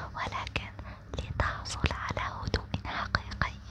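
The voice whispers in a calm tone. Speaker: sleep content creator. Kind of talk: soft sleep-talk monologue with advice. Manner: slow, calm, hushed sleep talk.

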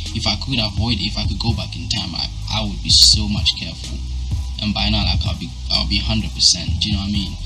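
A man at a fairly quick pace with very wide pitch swings, music in the background. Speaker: fitness vlogger. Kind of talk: casual vlog chat. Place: home room. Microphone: phone near.

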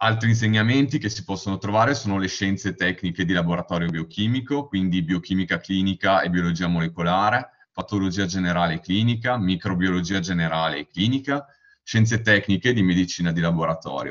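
With a very deep, low pitch and ordinary pitch variation, a man talks at a fairly quick pace. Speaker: university student. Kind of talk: slide presentation. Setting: video call webinar.

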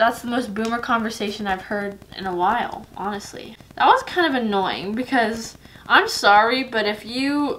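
A woman is speaking. Her voice has ordinary pitch variation. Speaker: home cook vlogger. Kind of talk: casual vlog chat. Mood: playful, chatty. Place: kitchen. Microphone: camera far.

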